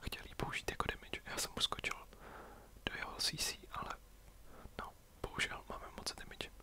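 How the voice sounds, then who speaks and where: Noticeable background noise sits behind a man who whispers. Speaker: ASMR gaming youtuber. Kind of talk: whispered gameplay commentary. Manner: whispering; halting.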